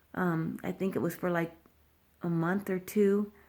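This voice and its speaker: A woman talks at a moderate pace in a medium pitch with monotone, flat intonation, in a very clean recording with a silent background. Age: 60s. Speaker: cancer patient vlogger. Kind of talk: personal video update. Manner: halting.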